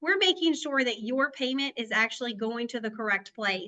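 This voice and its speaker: A woman with a Southern US accent speaks fairly quickly, her high voice bright and sharp in tone. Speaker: payments analyst. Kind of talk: webinar panel chat.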